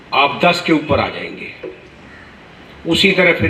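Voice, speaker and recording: Audible room echo and noticeable background noise come through as a man speaks. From Punjab. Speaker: senior lawyer addressing new advocates. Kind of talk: formal speech to an audience.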